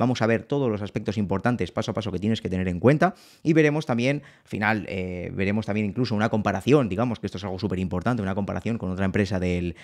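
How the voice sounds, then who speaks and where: The background is quiet. This man speaks very fast, his intonation lively. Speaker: financial analyst and educator; financial analyst, educator. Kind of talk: tutorial.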